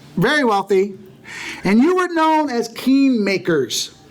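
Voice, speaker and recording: There is noticeable background noise as a man talks with lively intonation. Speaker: Bible teacher. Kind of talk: lecture.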